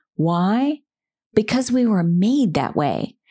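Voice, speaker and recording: A dark, mellow tone at a very slow pace with ordinary pitch variation. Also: woman. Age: 50s. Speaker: podcast host, communications consultant. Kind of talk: solo podcast talk.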